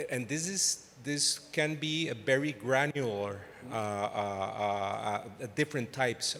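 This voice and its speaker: With a Costa Rican accent, a man speaks at a very slow pace at a medium pitch with ordinary pitch variation. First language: Spanish. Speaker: audience member, travel designer. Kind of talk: audience question. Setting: stage with audience. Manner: halting.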